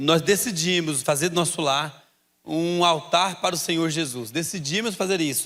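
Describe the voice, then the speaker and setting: With a goiano accent, a man speaks at a fairly slow pace in a high pitch with a bright, sharp tone and ordinary pitch variation. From Brazil, Goiás. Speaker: pastor. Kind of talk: sermon.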